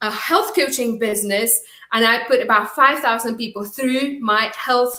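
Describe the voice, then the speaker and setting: The speaker has a Czech accent. The pace is fairly quick. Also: woman. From Czech Republic. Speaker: business coach. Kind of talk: live webinar training. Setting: livestream.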